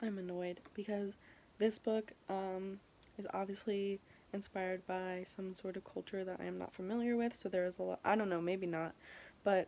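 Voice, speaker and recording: A woman's medium-pitched voice, dark and mellow in tone, with monotone, flat intonation. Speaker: book vlogger. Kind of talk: casual vlog to camera. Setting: at home at night. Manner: halting, many fillers; talking quietly.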